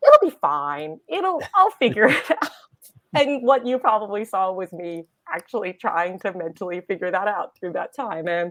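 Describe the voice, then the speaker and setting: In an American accent, a woman with an ordinary speaking voice talks at a moderate pace and medium pitch, with lively intonation and big swings in loudness. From United States. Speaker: reality TV contestant. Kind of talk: interview.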